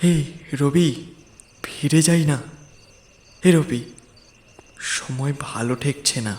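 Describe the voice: Putting on a shaky character voice, a man talks fairly slowly at a fairly high pitch.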